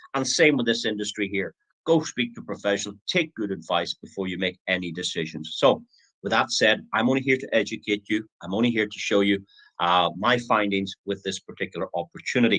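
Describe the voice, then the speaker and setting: With a Northern Irish accent, a man talks at a fairly quick pace in a fairly low, bright, sharp voice with ordinary pitch variation and a dry, close sound with no echo. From Northern Ireland. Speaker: online business presenter. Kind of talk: sales pitch. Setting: live stream. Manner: hesitant, many fillers.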